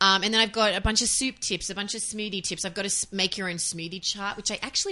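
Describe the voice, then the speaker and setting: This woman's tone is bright and sharp, with ordinary pitch variation. She talks at a very fast pace with hardly any pauses. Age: 40s. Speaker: author and voiceover artist. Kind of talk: interview.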